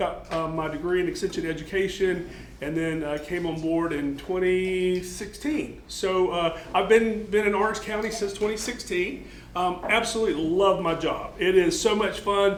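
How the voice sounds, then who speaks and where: The voice is loud and moves at a moderate pace with ordinary pitch variation. Audible room echo and noticeable background noise are present. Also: man, high pitch for a man. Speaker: extension horticulture agent, military veteran. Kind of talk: lecture.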